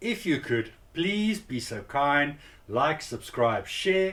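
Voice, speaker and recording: The man speaks at a fairly slow pace. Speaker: home cinema YouTuber. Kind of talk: tutorial. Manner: casual, hesitant.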